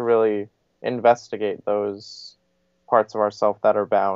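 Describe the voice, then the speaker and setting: A man with an American accent speaks at a fairly slow pace in a medium pitch. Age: 20s. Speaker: spiritual teacher. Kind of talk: interview answer.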